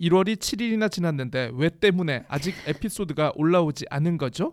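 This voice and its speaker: This man talks at a moderate pace with a high pitch and hardly any pauses. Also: very clean recording, silent background. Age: 40s. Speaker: podcast host, freelancer. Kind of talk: casual chat.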